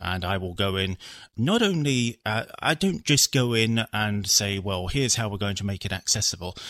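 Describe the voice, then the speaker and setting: A man with a southern English accent, fairly low in pitch, at a moderate pace, with ordinary pitch variation and a very clean recording with a silent background. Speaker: assistive technology developer. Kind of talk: interview.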